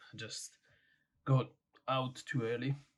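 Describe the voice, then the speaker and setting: A man is speaking. His voice is somewhat breathy. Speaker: barber and vlogger. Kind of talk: casual vlog.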